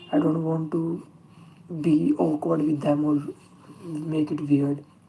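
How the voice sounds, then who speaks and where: Through noticeable background noise, a woman speaks at a very slow pace in a very deep, low pitch with monotone, flat intonation. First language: not English. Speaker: self-taught artist streamer. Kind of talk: live stream chat while drawing. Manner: halting, many fillers.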